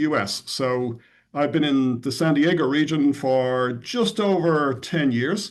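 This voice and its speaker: Against a quiet background, a man speaks with ordinary pitch variation. His voice sits fairly high. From Ireland, Dublin. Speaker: tech company CEO. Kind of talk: podcast interview.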